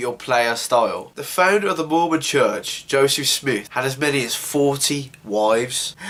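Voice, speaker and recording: With noticeable background noise behind him, a man speaks in an animated tone with lively intonation. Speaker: news show host. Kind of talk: casual news commentary. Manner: informal, animated.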